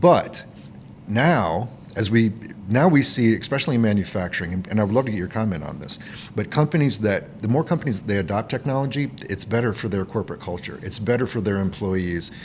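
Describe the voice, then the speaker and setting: The pace is fairly quick in this ordinary speaking voice. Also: man, fairly low pitch for a man. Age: 50s. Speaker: podcast host. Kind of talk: casual chat. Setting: conference recording.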